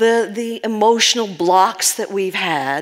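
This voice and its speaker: A woman talks with a New York accent. Her pace is very slow. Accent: New York American. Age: 60s. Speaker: spiritual healing teacher. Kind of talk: talk to live audience. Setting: stage with audience.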